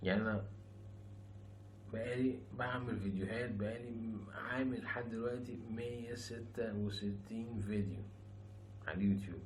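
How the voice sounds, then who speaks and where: A man's monotone, flat voice at a very slow pace, with noticeable background noise and audible room echo. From Egypt. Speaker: YouTuber, former rapper. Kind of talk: casual vlog monologue. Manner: soft-spoken.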